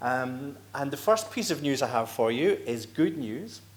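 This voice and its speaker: With a Scottish accent and lively intonation, a man speaks at a fairly slow pace, with audible room echo. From Scotland. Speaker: executive director of a right-to-die federation. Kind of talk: conference presentation. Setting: conference stage with audience.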